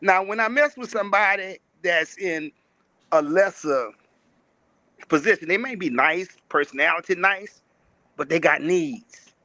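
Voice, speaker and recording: A man with a high, bright, sharp voice speaks raised and projected with lively intonation. The sound is dry and close with no echo, and he takes long, frequent pauses. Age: 60s. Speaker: panelist on relationship talk show. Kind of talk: casual panel discussion.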